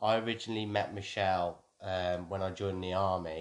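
In a West Midlands accent, a man speaks with a very deep, low pitch and monotone, flat intonation. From Wolverhampton, England. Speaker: army veteran, host's husband. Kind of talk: casual chat.

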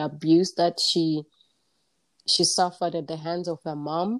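Speaking at a fairly slow pace, a woman uses a normal speaking voice with a fairly low pitch and fairly even intonation, and the sound is dry and close with no echo. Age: 40s. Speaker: life coach and podcast host. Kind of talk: casual interview chat.

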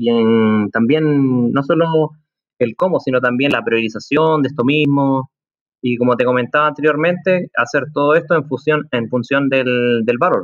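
A man with an ordinary speaking voice, medium pitch and ordinary pitch variation, at a fairly slow pace. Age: 30s. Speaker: project consultant, former business analyst. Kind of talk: interview conversation.

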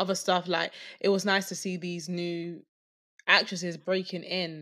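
A woman's fairly low voice has a bright, sharp tone and comes out flat and monotone at a fairly slow pace, in a very clean recording with a silent background. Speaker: podcast co-host. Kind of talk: casual chat.

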